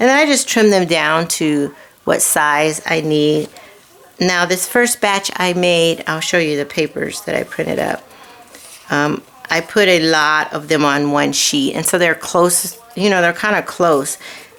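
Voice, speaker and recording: A woman's fairly low voice at a fairly slow pace, with ordinary pitch variation and noticeable background noise. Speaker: card-making crafter. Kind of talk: crafting tutorial. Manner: casual, rambling with fillers.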